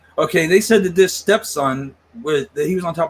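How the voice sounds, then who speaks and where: A man has a normal speaking voice with ordinary pitch variation. He talks at a moderate pace. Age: 40s. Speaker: paranormal investigator. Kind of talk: casual chat.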